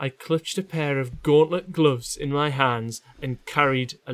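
A man with a Geordie accent, fairly high in pitch, fairly slow, with fairly even intonation. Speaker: podcast co-host. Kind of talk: casual comedy chat.

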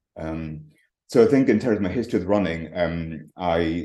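The voice has a dark, mellow tone. It carries a Scottish Highland accent. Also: man. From Scottish Highlands, far north coast. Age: 50s. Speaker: retired professor of paleoecology and ultrarunner. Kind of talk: casual interview chat. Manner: hesitant, many fillers and repetitions.

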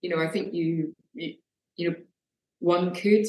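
A woman in a Scottish accent keeps her intonation fairly even. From Scotland. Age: 40s. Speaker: artist. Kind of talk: interview.

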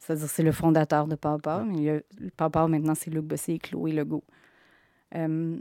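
Moderately paced, monotone speech from a woman with a Quebec accent, very deep and low in pitch, dark and mellow in tone, with long, frequent pauses, in a dry, close sound with no echo on a very clean recording over a silent background. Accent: Québécois French. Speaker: comic book author. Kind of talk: interview.

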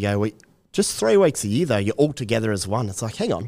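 A man with an Australian accent, fairly low-pitched and very fast, on a very clean recording with a silent background. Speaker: fantasy rugby league analyst. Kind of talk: casual chat.

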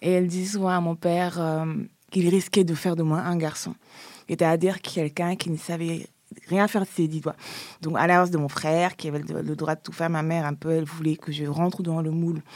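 In a very clean recording with a silent background, a woman talks at a fairly quick pace in a fairly low, monotone voice with flat intonation. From Senegal, Dakar. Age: 30s. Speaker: feminist activist. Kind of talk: interview testimony. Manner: halting.

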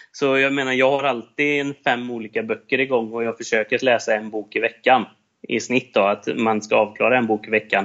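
A man has an unremarkable speaking voice at a medium pitch. He keeps a moderate pace and fairly even intonation. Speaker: salesperson and entrepreneur. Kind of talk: casual interview.

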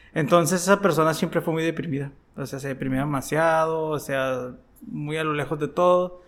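The pace is moderate. The intonation is fairly even. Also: man, fairly high pitch for a man. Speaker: podcast co-host, former DJ. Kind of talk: casual interview. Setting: recorded in an unusual location.

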